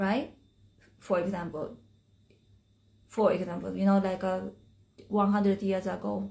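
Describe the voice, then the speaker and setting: A woman with a Japanese accent speaks in a dark, mellow tone that is somewhat breathy. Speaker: spiritual teacher. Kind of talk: live stream talk. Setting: Instagram live stream. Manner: halting.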